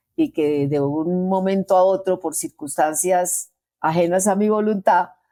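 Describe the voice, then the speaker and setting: Her voice has a dark, mellow tone at a medium pitch with ordinary pitch variation, and the woman speaks at a fairly slow pace. The recording is very clean with a silent background and a dry, close sound with no echo. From Colombia. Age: 70s. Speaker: veteran journalist and podcast co-host. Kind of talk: casual chat.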